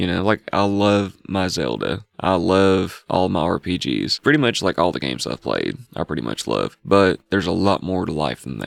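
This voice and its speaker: A man talks with very deep, low pitch, vocal fry and very wide pitch swings, with hardly any pauses. The sound is dry and close, with no echo. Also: moderate pace. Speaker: podcast host. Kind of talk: casual chat. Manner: casual, filler-heavy.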